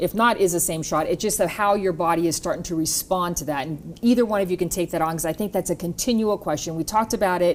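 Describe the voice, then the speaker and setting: A woman speaks at a very fast pace. Her pitch is fairly low, with ordinary pitch variation. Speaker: TV health program host. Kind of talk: TV panel interview.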